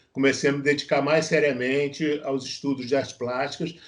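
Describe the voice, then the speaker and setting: Against a quiet background, a man speaks in a fairly high voice with monotone, flat intonation. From Brazil, Rio de Janeiro. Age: 60s. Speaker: visual artist, former journalist. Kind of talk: interview. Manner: halting, many fillers and repetitions.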